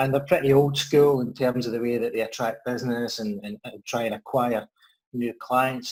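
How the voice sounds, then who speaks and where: This man speaks with a Scottish accent at a medium pitch. His pace is fairly quick and his intonation fairly even. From Scotland, Ayrshire. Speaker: financial adviser. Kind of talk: interview.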